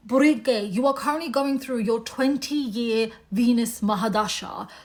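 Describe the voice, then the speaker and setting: A woman with a British accent at a moderate pace. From UK. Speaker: astrologer. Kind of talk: monologue to camera. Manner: casual, conversational.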